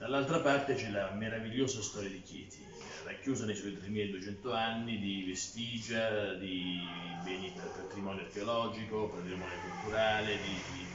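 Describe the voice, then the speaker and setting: Music plays in the background as a man talks at a fairly slow pace. The room echo is audible. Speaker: candidate. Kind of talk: interview answer. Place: office. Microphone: phone near.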